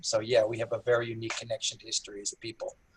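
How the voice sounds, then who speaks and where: A man speaks with an American accent. He goes at a very fast pace. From United States. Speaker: historian and rabbi. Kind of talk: interview answer. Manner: quick-paced, humorous.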